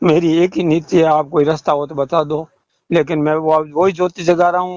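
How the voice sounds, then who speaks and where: A man speaks with a fairly high pitch in a monotone, flat way. The sound is dry and close, without echo. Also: moderate pace. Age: 60s. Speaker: caller, retired roadways worker and devotee. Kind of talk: phone call about religious doubts.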